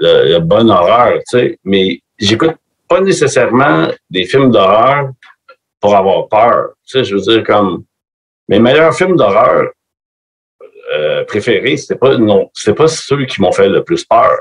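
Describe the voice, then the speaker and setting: With long, frequent pauses, a man speaks very slowly in a dry, close sound with no echo. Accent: Quebec. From Quebec, Montreal area. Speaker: metal musician. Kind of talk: casual chat. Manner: animated.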